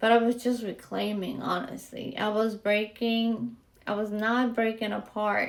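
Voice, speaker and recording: A woman talking at a fairly slow pace with fairly even intonation, over noticeable background noise. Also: fairly high pitch for a woman. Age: 40s. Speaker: podcast host. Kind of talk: personal podcast monologue. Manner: casual, candid.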